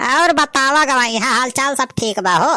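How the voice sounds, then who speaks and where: Here a woman performs a cartoonish character voice at a high pitch. She keeps a moderate pace with ordinary pitch variation. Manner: smooth, placating.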